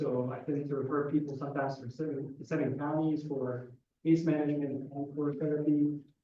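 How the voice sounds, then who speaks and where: The speaker is a man with a fairly high pitch. Audible room echo surrounds his voice. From Egypt. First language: Arabic. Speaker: psychiatrist. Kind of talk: audience question at lecture.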